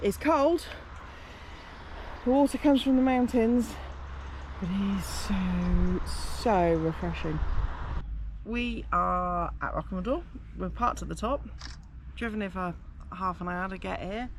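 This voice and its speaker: With an English accent, a woman talks at a fairly slow pace, leaving long, frequent pauses. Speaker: travel vlogger. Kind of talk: casual vlog narration.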